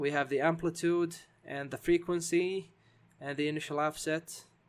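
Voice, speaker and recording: A man speaks with a non-native accent. His voice sits high in pitch. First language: not English. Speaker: game development tutorial maker. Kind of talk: tutorial. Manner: halting, many fillers.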